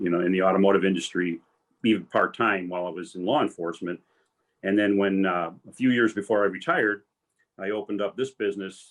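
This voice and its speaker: A man with a normal speaking voice talks at a fairly quick pace. His pitch is fairly low and his intonation fairly even. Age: 60s. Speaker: retired police commander and tow business owner. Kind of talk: career panel talk.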